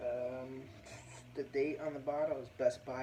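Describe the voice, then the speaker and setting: A man speaks quietly in a relaxed tone at a medium pitch, with noticeable background noise. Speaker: beer reviewer. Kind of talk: casual video review. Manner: quiet, keeping voice down; relaxed, with fillers.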